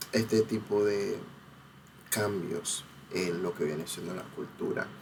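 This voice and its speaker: A man speaks at a fairly slow pace. His pitch is fairly low, and he talks with a Panamanian accent. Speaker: cultural researcher and video essayist. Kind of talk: educational talk. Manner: hesitant with many fillers.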